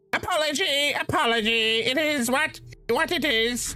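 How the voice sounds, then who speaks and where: Faint music plays in the background behind a put-on character voice. It is high-pitched and moves at a moderate pace. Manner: aggressive, blunt.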